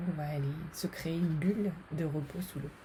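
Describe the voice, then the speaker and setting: A woman speaks at a fairly slow pace in a fairly low pitch. Her tone is calm, with ordinary pitch variation. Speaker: psychologist and meditation guide. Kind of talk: guided meditation. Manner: slow, calm, relaxing.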